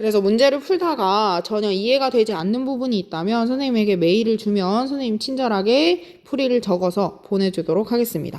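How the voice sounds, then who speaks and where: Speaking quickly with hardly any pauses, a woman with an ordinary speaking voice uses lively intonation at a fairly high pitch. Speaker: high school science teacher. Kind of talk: lecture.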